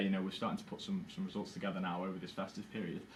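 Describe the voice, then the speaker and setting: A man talking at a very fast pace with lively intonation, with audible room echo. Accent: Liverpool. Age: 20s. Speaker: fan channel interviewer. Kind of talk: interview. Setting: live Facebook stream at football stadium.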